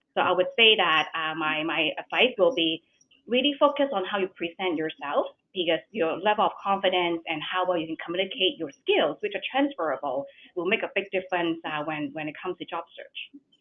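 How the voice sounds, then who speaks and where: Lively intonation in a woman's fairly low voice. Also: fairly quick pace. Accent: strong non-native. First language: not English. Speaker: bank executive. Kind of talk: webinar panel talk.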